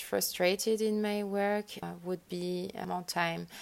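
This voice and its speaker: A woman speaks with a French accent. Her pitch sits at a medium level. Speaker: lighting designer. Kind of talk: interview. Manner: halting.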